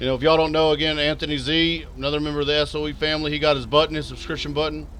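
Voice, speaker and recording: A man with a Texas accent talks in a fairly high pitch. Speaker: video game streamer. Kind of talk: live stream commentary.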